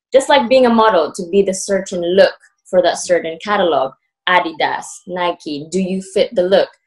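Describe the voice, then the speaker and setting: Speaking with a Filipino accent, a woman keeps a moderate pace. Her pitch varies an ordinary amount. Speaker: aspiring MMA presenter. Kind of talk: casual chat.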